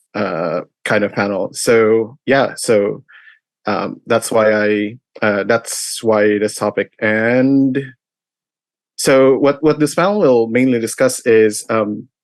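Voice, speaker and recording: A man at a very slow pace, medium in pitch, with ordinary pitch variation, over a quiet background. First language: not English. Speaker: convention panelist. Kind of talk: convention panel presentation. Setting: live online stream. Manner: halting, many fillers.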